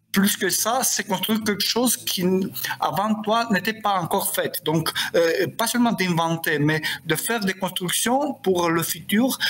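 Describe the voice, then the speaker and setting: A man with a Romanian accent, high in pitch, fairly slow, very even in loudness, over noticeable background noise. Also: ordinary pitch variation. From Moldova, Chisinau. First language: Romanian (speaking French). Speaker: poet and novelist. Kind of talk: interview. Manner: halting.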